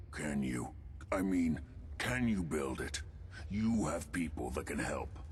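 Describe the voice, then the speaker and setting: A man uses a put-on character voice with a very deep, low pitch. He goes at a fairly slow pace over clear background noise. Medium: video game. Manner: urgent, pressing.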